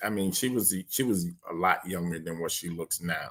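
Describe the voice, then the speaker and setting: Against a silent background in a very clean recording, a man speaks at a moderate pace with ordinary pitch variation. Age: 60s. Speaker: political commentary vlogger. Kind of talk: casual monologue livestream. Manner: halting, many fillers.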